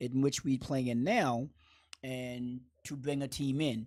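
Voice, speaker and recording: A man speaks with a Boston accent. The recording is very clean, and the background is silent. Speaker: basketball coach. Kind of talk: interview.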